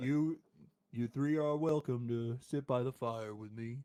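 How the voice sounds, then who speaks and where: The man's pitch sits in the medium range as he performs a put-on character voice. His delivery is fairly slow. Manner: welcoming, folksy.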